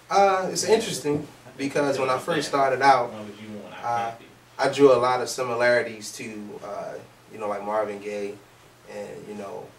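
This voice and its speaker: A man at medium pitch and moderate pace, with ordinary pitch variation, long, frequent pauses, big swings in loudness, noticeable background noise and audible room echo. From Baltimore, US. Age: 20s. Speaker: soul singer. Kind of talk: interview. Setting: studio.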